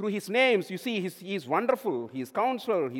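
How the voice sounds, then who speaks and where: This man's voice is raised and projected, with a bright, sharp tone. His pitch is high. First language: non-English native language. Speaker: lay preacher. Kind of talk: sermon. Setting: church.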